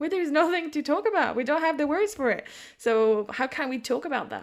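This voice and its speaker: The speech moves at a fairly quick pace with lively intonation. The recording is very clean, with a silent background. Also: woman, high pitch for a woman. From France. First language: French. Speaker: psychic and intuitive business mentor. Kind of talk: casual chat. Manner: halting.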